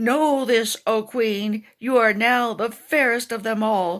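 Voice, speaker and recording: Using a put-on character voice, a woman speaks at a fairly slow pace with fairly even intonation on a very clean recording with a silent background. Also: fairly high pitch for a woman. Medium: read story.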